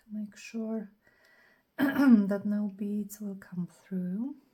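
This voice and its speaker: At a very slow pace, a woman with a fairly high pitch and a dark, mellow tone sounds somewhat breathy, keeping her intonation fairly even. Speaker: craft youtuber. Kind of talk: tutorial. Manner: casual, thinking aloud.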